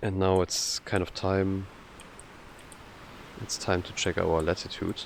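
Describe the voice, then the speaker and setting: With a German accent, the speaker goes at a fairly slow pace with long, frequent pauses. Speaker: video game streamer. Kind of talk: casual gameplay commentary. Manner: hesitant, many fillers.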